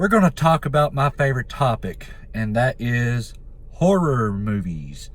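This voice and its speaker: Somewhat breathy and at a fairly slow pace, a man speaks in a medium pitch with very wide pitch swings. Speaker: YouTuber, horror movie commentator. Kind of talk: casual vlog talk. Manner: halting, with filler words.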